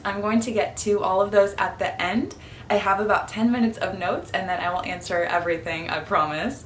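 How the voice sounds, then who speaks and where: With music in the background and audible room echo, the speaker keeps a moderate pace and ordinary pitch variation. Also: woman. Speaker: feminine energy coach. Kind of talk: casual vlog talk to camera.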